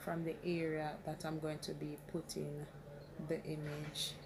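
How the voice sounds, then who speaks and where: A woman speaks quietly at a very slow pace. Audible room echo and noticeable background noise surround her. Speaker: crafting tutorial creator. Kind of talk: tutorial. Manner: quiet, talking low.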